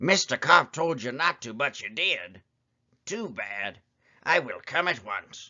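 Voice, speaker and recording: In a put-on character voice, a man speaks at a fairly slow pace, raspy and fairly high-pitched, with very wide pitch swings and big swings in loudness. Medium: read story.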